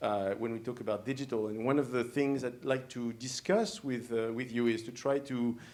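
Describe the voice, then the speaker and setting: With a French accent, a man at medium pitch speaks at a moderate pace with fairly even intonation and hardly any pauses, amid audible room echo. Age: young. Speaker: professor. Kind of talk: lecture. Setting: stage with audience. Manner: halting, many fillers.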